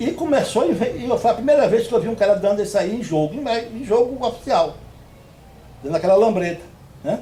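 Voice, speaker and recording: A man at an extremely high pitch, fairly quick and with lively intonation. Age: 70s. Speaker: retired futsal player. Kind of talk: interview. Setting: on a rural farm property. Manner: halting.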